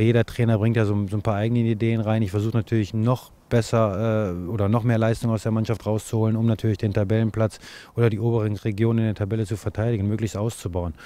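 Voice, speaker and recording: A man with a dark, mellow tone talks at a very fast pace, his fairly low pitch flat and monotone, in a dry sound with no echo. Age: 40s. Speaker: football coach. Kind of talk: interview. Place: open country. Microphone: handheld.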